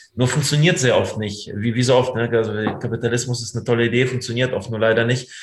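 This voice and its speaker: A man's medium-pitched voice at a very fast pace, fairly even in intonation, with noticeable background noise. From Germany, raised from childhood after moving from the Soviet Union. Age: 30s. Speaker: freelance journalist. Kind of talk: interview.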